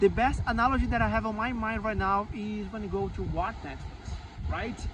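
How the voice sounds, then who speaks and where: A man talks with a Portuguese accent. There's noticeable background noise and audible room echo. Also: moderate pace. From Brazil. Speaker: Java software engineer. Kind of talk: interview. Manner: halting.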